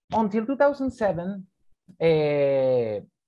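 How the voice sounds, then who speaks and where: In a Spanish accent, a man speaks at a high pitch with very wide pitch swings. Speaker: political science researcher. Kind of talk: academic Q&A answers. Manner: halting, repeating words.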